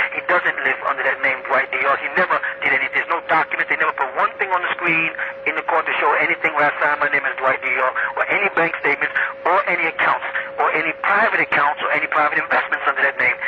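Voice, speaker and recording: Over noticeable background noise, a man speaks at a very fast pace with very even loudness. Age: 50s. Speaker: incarcerated religious leader. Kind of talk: interview.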